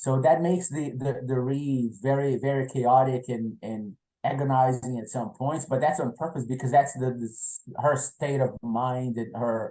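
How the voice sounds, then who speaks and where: A man with a Portuguese accent speaks at medium pitch in a dark, mellow tone. His pace is moderate, his intonation fairly even, and he hardly pauses. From Brazil. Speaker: novelist. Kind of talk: interview. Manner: halting, repeats words.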